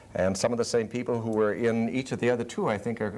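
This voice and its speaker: A man talks at a fairly quick clip in a medium pitch. Noticeable background noise sits behind him. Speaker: high school drama teacher. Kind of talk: TV interview answer.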